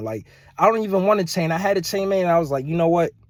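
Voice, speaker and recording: Speaking at a fairly quick pace, a man with a high pitch sounds animated. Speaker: social media commentator. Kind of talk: casual rant to camera. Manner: fast.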